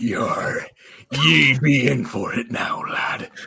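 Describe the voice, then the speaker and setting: A man puts on a raspy character voice at a fairly high pitch. He talks at a very slow pace. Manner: menacing, playful.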